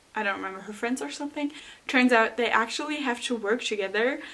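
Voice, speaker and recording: A high-pitched woman's voice with a non-native accent and ordinary pitch variation, over noticeable background noise. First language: not English. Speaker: booktuber. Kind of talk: casual book recommendation vlog. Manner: animated.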